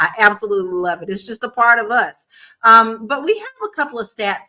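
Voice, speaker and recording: Speaking with a Southern US accent, a woman has a fairly high pitch and a bright, sharp tone. Her intonation is lively and her pace fairly quick. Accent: Southern country twang. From Kentucky, US South. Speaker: talk show host. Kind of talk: casual panel discussion.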